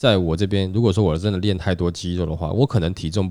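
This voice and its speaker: This man has a very deep, low voice with a dark, mellow tone and a Taiwanese accent. He talks at a very fast pace with fairly even intonation. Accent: Taiwanese Mandarin. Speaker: podcast host. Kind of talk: casual chat.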